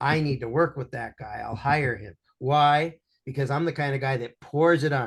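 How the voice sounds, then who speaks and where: Somewhat breathy and fairly high-pitched, a man speaks with big swings in loudness over a quiet background. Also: ordinary pitch variation, moderate pace. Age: 60s. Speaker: business coach. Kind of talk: interview. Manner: animated.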